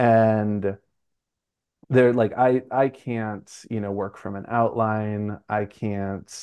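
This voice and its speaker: A man speaks in a normal speaking voice with an American accent and a fairly low pitch. His intonation is fairly even, and the background is quiet. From US Northeast, Brooklyn, New York. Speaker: writer and preschool teacher. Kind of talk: interview.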